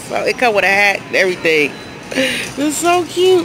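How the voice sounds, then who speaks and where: Speech comes at a very slow pace over noticeable background noise, with a dry sound and no echo. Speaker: vlogger. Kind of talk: casual vlog chat. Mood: cheerful, amused. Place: shop. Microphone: phone near.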